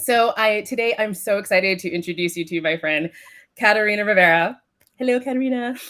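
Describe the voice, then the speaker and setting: In an American accent, a woman of medium pitch talks at a fairly quick pace with ordinary pitch variation. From United States. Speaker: podcast host and business coach. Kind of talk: interview.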